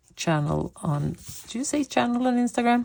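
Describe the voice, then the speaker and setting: There is lively intonation as a woman speaks with a Swedish accent. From Sweden. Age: 50s. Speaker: coloring hobby vlogger. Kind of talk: casual chat. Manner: hesitant, with fillers.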